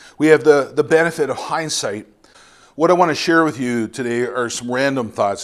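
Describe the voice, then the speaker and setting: A man with a medium-pitched, unremarkable speaking voice talks at a moderate pace with ordinary pitch variation. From Canada, Ontario. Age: 50s. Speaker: missionary preacher. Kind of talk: sermon.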